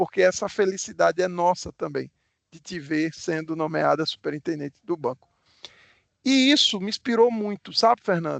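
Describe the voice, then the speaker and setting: A man with a Pernambuco accent talks at a moderate pace in a high pitch, with very wide pitch swings, in a dry, close sound with no echo. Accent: Pernambuco Brazilian Portuguese. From Brazil, Pernambuco. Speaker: bank executive. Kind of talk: live webinar talk. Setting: online live stream. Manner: warm, animated.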